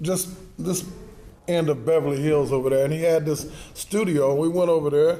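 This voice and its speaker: There is audible room echo as a man with a fairly high pitch speaks at a moderate pace with fairly even intonation. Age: 60s. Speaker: musician's son, interview guest. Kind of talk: casual chat.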